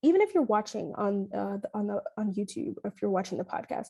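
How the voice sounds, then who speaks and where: A woman talks very fast with lively intonation and fairly high pitch. Her tone is dark and mellow, and somewhat breathy. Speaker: lifestyle coach and podcast host. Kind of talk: podcast monologue leading into guided visualization. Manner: casual, filler-heavy.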